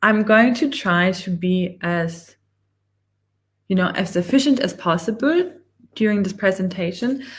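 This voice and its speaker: Speaking at a fairly slow pace, a woman with a German accent sounds somewhat breathy. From Germany. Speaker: online business coach. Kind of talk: live webinar presentation. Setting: livestream with screen share.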